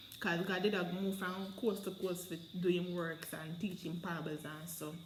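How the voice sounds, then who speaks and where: A woman of medium pitch speaks at a moderate pace. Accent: Jamaican. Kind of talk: Bible reading and commentary in dialect. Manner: casual, conversational.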